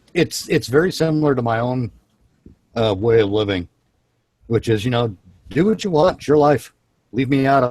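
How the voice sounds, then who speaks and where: Speaking at a moderate pace, a man with a medium-pitched voice uses lively intonation and takes long, frequent pauses. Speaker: live show host. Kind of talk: casual chat. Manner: halting.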